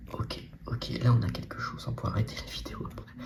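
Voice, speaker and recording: A soft-spoken man's very deep, low voice at a very slow pace, over noticeable background noise. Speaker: ASMR Pokémon card content creator. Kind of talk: casual talk to camera while opening trading card packs. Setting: home recording with no real microphone.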